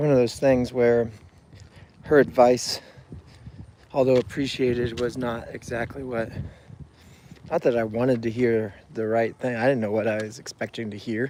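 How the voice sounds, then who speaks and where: A man's medium-pitched voice at a moderate pace, fairly even in intonation, with long, frequent pauses and noticeable background noise. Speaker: mental health vlogger. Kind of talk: personal video journal on a walk. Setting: outdoors on a walk. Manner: halting, hesitant.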